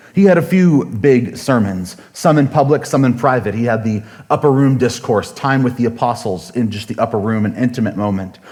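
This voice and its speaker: There is audible room echo as a man speaks at a moderate pace and medium pitch with lively intonation. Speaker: pastor. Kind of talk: sermon. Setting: church. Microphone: sound issues with new equipment.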